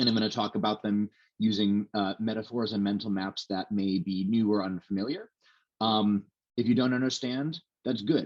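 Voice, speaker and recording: Fairly low in pitch, a man talks with fairly even intonation. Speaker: researcher giving a lecture. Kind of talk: lecture. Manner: fast; halting with many fillers.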